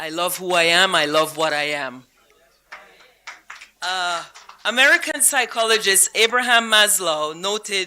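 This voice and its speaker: A woman with a Belizean accent speaks in a bright, sharp tone with lively intonation. Her speech is broken by long, frequent pauses. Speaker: honoree, housing advocate and teacher. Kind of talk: award acceptance speech.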